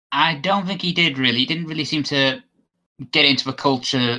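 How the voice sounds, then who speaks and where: This man talks at a very fast pace with a British accent and a bright, sharp tone. His pitch is medium, with ordinary variation. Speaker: podcast guest, show patron. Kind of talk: casual chat.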